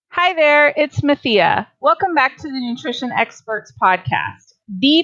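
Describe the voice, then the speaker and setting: A woman with a slight Southern US accent talks at a fairly slow pace in a bright, sharp tone with lively intonation, against a quiet background. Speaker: podcast host, dietitian. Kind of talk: interview.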